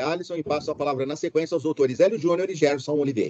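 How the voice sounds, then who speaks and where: A man speaks with a dark, mellow tone and ordinary pitch variation. The sound is dry with no echo, over light background noise. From Brazil. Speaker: judge; judge presiding over a hearing. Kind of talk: court hearing. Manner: formal. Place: office. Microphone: video call.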